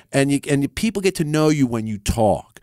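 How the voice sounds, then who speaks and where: The man's voice is fairly high in pitch, with very wide pitch swings at a moderate pace. The recording is very clean and the background silent. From Philadelphia area. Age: 50s. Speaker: rock guitarist. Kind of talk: casual interview chat. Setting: radio studio.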